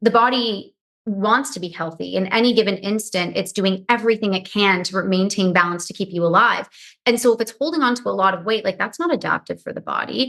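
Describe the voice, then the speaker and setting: This woman speaks at a fairly quick pace. Her pitch is medium, with ordinary variation. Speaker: nutritionist and hypnotherapist. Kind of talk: podcast interview. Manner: fast.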